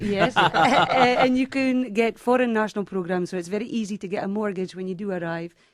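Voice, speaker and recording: With a Scottish accent, a woman speaks at a fairly quick pace with hardly any pauses and ordinary pitch variation, against noticeable background noise. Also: medium pitch for a woman. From Scotland, Highlands near Aberdeen. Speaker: real estate agent. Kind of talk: radio talk show interview.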